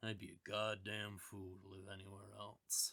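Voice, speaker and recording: Growling in a put-on character voice, a man keeps a fairly low pitch and a monotone, flat intonation at a moderate pace. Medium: read story. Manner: decisive, blunt.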